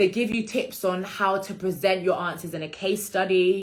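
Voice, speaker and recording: This woman has a British accent, a medium pitch and fairly even intonation. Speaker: law career content creator. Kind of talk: instagram live Q&A. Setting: Instagram live stream. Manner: fast.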